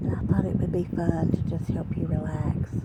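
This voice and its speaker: Over noticeable background noise, a soft-spoken woman talks. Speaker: ASMR storyteller. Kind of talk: casual talk to camera.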